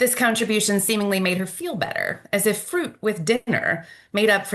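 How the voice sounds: The reading voice is natural, with ordinary pitch variation.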